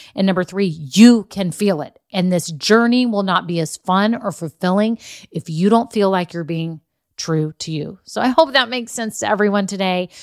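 On a very clean recording with a silent background and a dry, close sound free of echo, a woman at medium pitch speaks at a moderate pace with lively intonation and an animated tone. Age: 50s. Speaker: business coach podcast host. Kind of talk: solo podcast monologue.

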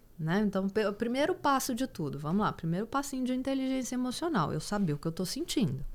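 Barely pausing, a woman races along at a very fast pace, her fairly high voice making very wide pitch swings. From Goiás, Brazil. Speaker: psychologist and former competitive swimmer. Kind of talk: casual interview.

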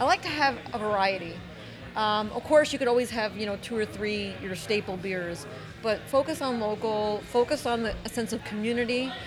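Music plays in the background as a woman talks at a moderate pace in a fairly high pitch with ordinary pitch variation. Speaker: foodie group admin and guest. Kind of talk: casual round-table chat.

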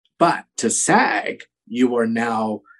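A man does the talking. His voice sits at a middle pitch. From US West Coast. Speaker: actor. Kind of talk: casual interview.

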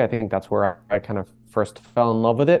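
In an American accent, a man with an ordinary speaking voice talks at a medium pitch with ordinary pitch variation. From Boston, Massachusetts. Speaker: cookware company co-founder. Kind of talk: interview.

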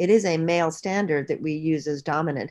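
Over a quiet background, a woman with a very deep, low voice talks at a fairly quick pace with fairly even intonation. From Bahamas. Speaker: author and activist. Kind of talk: interview. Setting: call.

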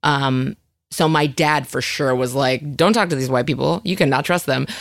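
With an American accent, a woman speaks at a fairly quick pace on a very clean recording with a silent background. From Northern California. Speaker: comedian and actress. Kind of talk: casual chat.

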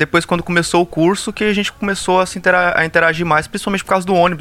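The speech runs at a very fast pace, with noticeable background noise behind it. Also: man. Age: 20s. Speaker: pharmacy student. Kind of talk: casual chat. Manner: loud.

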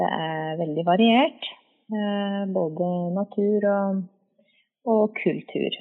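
Speaking at a very slow pace with long, frequent pauses, a woman shows ordinary pitch variation. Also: medium pitch for a woman. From Valdres, Norway. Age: 30s. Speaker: nurse. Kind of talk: interview. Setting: phone call. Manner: hesitant. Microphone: echoey phone line.

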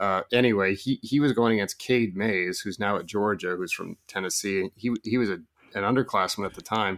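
A man with an American accent has a normal speaking voice, fairly low in pitch and fairly quick in pace. The recording is very clean with a silent background, and the sound is dry and close with no echo. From Oregon. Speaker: recruiting analyst. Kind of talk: casual chat.

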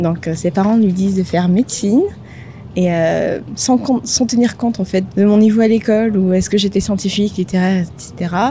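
A woman speaks in a plain, everyday voice at a medium pitch. Her pitch varies in an ordinary way, and her pace is moderate. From Madagascar. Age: 30s. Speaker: podcast co-founder. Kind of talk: interview conversation.

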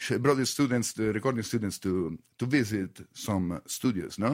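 Recorded very cleanly against a silent background, a man with an Italian accent speaks at a moderate pace and medium pitch with ordinary pitch variation. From Italy. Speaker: radio DJ and interviewer. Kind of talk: casual interview. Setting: studio. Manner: halting, many fillers.

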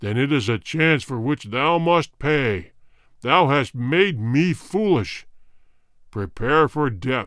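In a put-on character voice, a man speaks at a medium pitch and a fairly slow pace with lively intonation, on a very clean recording with a silent background. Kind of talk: archaic formal speech. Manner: menacing, imperious.

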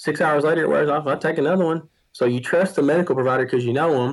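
A man with a Southern US accent talks at a very fast pace, his fairly high pitch showing ordinary variation. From US South, Tennessee. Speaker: medical practitioner and farmer. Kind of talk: casual interview.

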